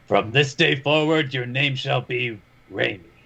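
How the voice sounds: In a put-on character voice, a man sounds gruff at a medium pitch. He keeps a moderate pace.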